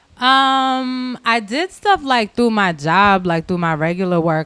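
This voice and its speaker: A woman's lively, moderately paced speech on a very clean recording with a silent background. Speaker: musician. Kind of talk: casual chat. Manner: soft-spoken; loud at times.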